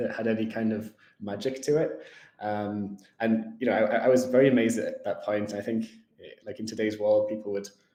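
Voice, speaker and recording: With a northern English accent, a man talks at a fairly quick pace in a medium pitch and a monotone, flat intonation. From northern England. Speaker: tech company executive. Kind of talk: interview. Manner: hesitant, many fillers.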